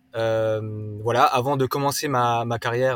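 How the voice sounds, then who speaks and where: Music plays in the background. A man speaks at medium pitch with fairly even intonation. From Alsace, France (rural, near Swiss border). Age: 30s. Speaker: startup co-founder, carbon accounting. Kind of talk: casual interview. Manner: halting, many filler words.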